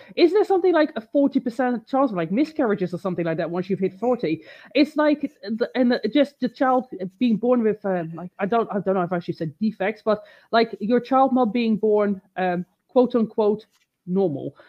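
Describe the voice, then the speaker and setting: Lively in intonation, a woman speaks at a fairly high pitch in an unremarkable speaking voice. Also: moderate pace. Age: 30s. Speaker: fitness coach and bodybuilder. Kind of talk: casual chat. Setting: online live stream.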